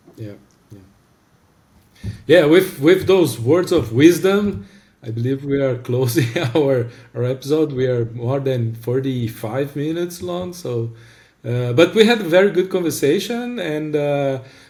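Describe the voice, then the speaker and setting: The delivery is fairly slow, with lively intonation. The loudness swings widely. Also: man. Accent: Brazilian. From Brazil. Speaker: podcast host. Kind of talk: casual chat.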